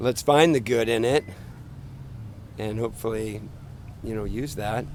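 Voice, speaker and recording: This man's voice sits at a medium pitch, delivered at a moderate pace. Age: 60s. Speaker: passer-by interviewee. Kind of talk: street interview. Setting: outdoors in a park.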